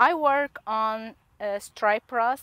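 A woman with ordinary pitch variation, dry sound without echo, and a quiet background. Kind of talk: field day presentation to farmers. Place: open country. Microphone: lapel.

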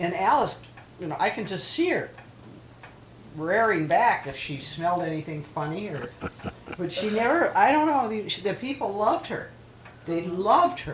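A woman at medium pitch with very wide pitch swings, a moderate pace, long and frequent pauses, and noticeable background noise. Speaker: elderly local resident interviewed for oral history. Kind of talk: oral history interview.

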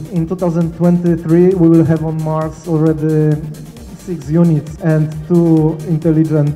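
A man talks at a moderate pace in a monotone, flat intonation. Faint music plays in the background. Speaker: guest. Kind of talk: lecture. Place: cafe. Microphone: handheld.

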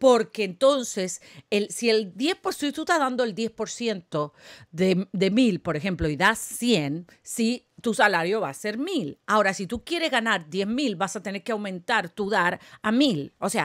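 A fairly high-pitched woman, fairly slow, with lively intonation over a quiet background. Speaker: prophetic preacher and spiritual coach; prophetic preacher, spiritual coach. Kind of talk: sermon. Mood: fervent, encouraging. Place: home room. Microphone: studio mic.

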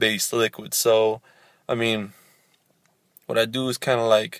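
Moderate pace in a dry sound with no echo against a quiet background. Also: man. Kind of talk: casual vlog chat. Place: car. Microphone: phone near.

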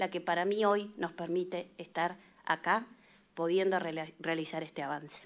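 A woman speaking at a fairly slow pace. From Argentina. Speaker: legislator. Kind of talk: committee hearing speech. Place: meeting room. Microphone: podium.

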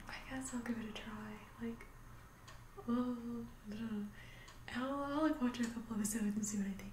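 A soft-spoken woman talks with fairly even intonation and a fairly high pitch. Noticeable background noise is present. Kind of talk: ASMR roleplay, casual chat to camera. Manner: soft-spoken, calming.

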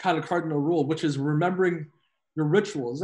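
Quiet background behind a man's moderately paced speech. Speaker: podcast guest. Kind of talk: interview answer. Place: home room. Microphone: video call.

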